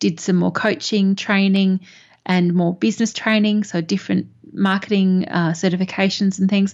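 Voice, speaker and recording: With an Australian accent, a woman speaks at a moderate pace and medium pitch, somewhat breathy and monotone. Her loudness stays very even against a quiet background. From Perth, Australia. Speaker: business mentor and coach. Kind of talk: interview.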